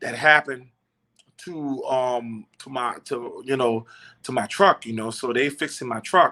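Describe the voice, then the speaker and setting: In an American accent, a man at medium pitch talks at a fairly slow pace with fairly even intonation and a bright, sharp tone, on a very clean recording with a silent background. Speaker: truck driver and livestream host. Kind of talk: casual livestream talk. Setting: hotel room. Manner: subdued, not loud today; halting with many fillers.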